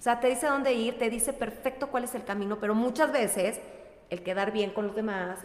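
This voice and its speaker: A woman with a fairly high voice and ordinary pitch variation is heard over noticeable background noise. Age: 40s. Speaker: wellness coach. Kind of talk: casual chat.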